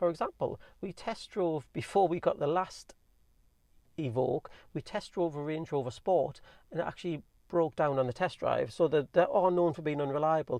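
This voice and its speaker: A man with a Geordie accent speaks at a high pitch with ordinary pitch variation. The background is quiet. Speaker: car owner vlogger. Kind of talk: casual review monologue. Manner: fast.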